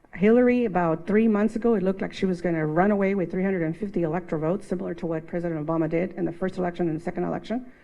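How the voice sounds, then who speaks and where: A woman talks at a very fast pace with hardly any pauses, using a fairly low pitch, a dark, mellow tone and fairly even intonation over a quiet background. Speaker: panelist. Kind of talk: panel discussion.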